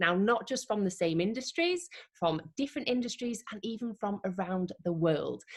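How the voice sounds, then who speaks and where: Upbeat, somewhat breathy speech from a woman with lively intonation. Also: medium pitch for a woman, moderate pace. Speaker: interviewer. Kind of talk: interview introduction.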